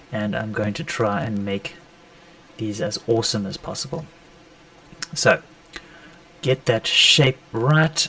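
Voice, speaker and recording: A man at medium pitch with lively intonation, noticeable background noise behind him. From South Africa. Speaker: sneaker customizer and artist. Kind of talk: live stream tutorial. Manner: casual.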